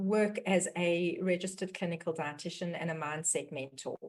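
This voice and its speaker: A woman with a South African accent talks at a fairly slow pace and a medium pitch. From South Africa, Johannesburg. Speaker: dietitian and mindset mentor hosting a webinar. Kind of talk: webinar introduction.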